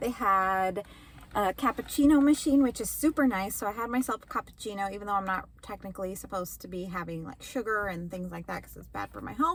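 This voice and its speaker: A woman's somewhat breathy, medium-pitched voice at a very fast pace, with lively intonation. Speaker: elementary school teacher vlogger. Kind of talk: casual vlog talk to camera.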